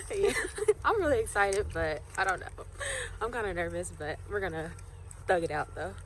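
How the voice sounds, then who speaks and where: Long, frequent pauses break up the speech at a moderate pace. Room echo is audible. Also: woman. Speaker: vlogger. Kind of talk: casual vlog. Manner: animated.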